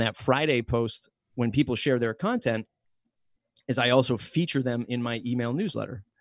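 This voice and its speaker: On a very clean recording with a silent background and a dry, close sound with no echo, a man with a normal speaking voice talks at a medium pitch and moderate pace with ordinary pitch variation. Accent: American. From Massachusetts South Coast. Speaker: podcast company director and podcast host. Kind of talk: casual interview.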